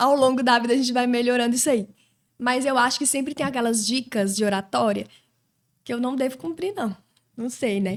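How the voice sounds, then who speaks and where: A woman's high-pitched voice with long, frequent pauses. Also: ordinary pitch variation, fairly quick pace. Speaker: Portuguese teacher. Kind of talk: casual chat. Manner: fast; clear diction.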